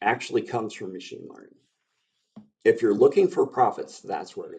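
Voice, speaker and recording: An American accent comes through in speech delivered at a moderate speed. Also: man. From Baltimore, US. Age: 60s. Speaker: AI expert. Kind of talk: podcast interview.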